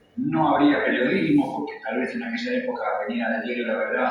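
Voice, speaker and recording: Noticeable background noise and audible room echo surround the recording. A man speaks at a fairly quick pace. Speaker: former club athlete, witness. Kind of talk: testimony. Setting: book fair talk with audience.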